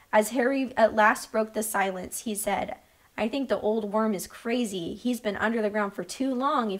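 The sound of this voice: Someone reads in an unforced voice.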